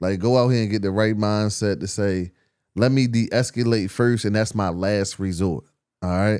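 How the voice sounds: A man speaks at a moderate pace in a fairly low voice with ordinary pitch variation. His tone is slightly mellow, clear and smooth, on a very clean recording with a silent background.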